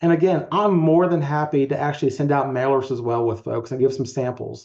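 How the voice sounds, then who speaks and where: Over a quiet background, a man with an American accent speaks in a dark, mellow tone, his fairly high pitch carried by fairly even intonation. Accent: slight rural twang. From Eastern Shore of Maryland. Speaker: criminologist, community organization director. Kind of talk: online meeting presentation.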